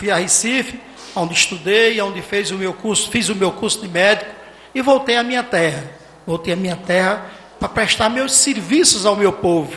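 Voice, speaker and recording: A man speaks at a high pitch and a moderate pace, with ordinary pitch variation. Noticeable background noise and audible room echo fill the recording. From Salgueiro, Pernambuco, Brazil (Sertão). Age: 50s. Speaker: mayoral candidate, physician. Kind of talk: campaign debate speech. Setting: municipal council chamber with audience, broadcast on radio and internet.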